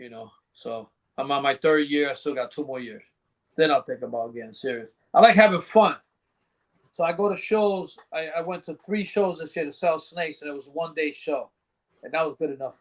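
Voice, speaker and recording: This man has an unremarkable speaking voice, fairly high in pitch, with lively intonation, big swings in loudness and a fairly quick pace. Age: 60s. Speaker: reptile breeder. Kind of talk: casual chat. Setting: live podcast.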